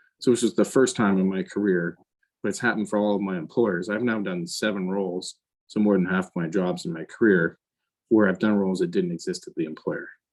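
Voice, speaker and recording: His voice is fairly low in pitch and has ordinary pitch variation. This man, with an ordinary speaking voice, delivers his words at a fairly quick pace. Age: 50s. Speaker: finance executive. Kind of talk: interview. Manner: conversational with many fillers.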